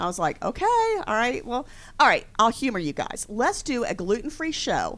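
A woman speaks at a moderate pace. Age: 50s. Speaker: business owner. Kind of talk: radio interview. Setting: studio.

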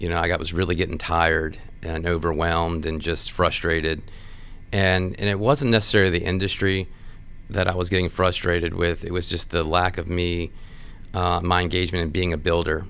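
In an American accent, the speaker talks at a fairly quick pace with monotone, flat intonation, and audible echo fills the room. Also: man, very deep, low pitch for a man. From Washington D.C. area. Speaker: construction executive. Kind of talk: casual interview.

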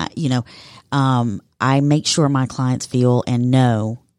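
The sound is dry and close, with no echo. A woman speaks on a very clean recording against a silent background. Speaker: marketing agency founder. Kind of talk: casual radio interview. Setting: radio studio.

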